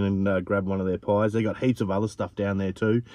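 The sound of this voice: A man with a fairly low, dark and mellow voice shows little pitch movement.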